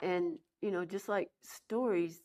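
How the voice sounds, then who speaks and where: Lively intonation and a fairly slow pace come in a West Texas accent, captured in a very clean recording with a silent background. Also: woman. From Texas (Sweetwater, West Texas). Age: 70s. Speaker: English professor, folklorist. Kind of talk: interview. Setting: college classroom.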